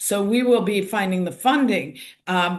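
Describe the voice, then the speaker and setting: At a fairly slow pace, a woman with an American accent talks in an ordinary speaking voice with a medium pitch and ordinary pitch variation. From United States. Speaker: activist. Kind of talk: panel discussion.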